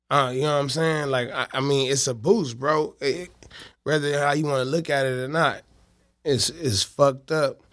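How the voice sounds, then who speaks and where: On a very clean recording with a silent background, a man with an American accent uses an ordinary speaking voice, fairly high in pitch, with fairly even intonation at a moderate pace. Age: 30s. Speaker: rapper. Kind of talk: casual interview. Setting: studio.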